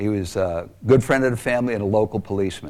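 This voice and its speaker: Speaking at a fairly quick pace, a man with a fairly low pitch uses an ordinary speaking voice with an American accent. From Long Island, New York. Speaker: abuse survivor speaker. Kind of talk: testimony.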